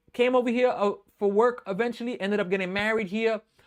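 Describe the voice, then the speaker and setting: Energetic and fairly quick, a man with a New York accent speaks at an extremely high pitch. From New York City, the Bronx. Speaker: sports live streamer and baseball fan host. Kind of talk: live play-by-play commentary with chat. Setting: live stream. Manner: casual, energetic.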